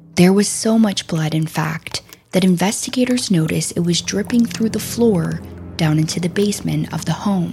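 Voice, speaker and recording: A woman's fairly low voice, solemn in tone, at a moderate pace with ordinary pitch variation, music in the background. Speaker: true crime podcast host. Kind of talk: dramatic true-crime narration. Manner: grave, solemn, measured storytelling delivery.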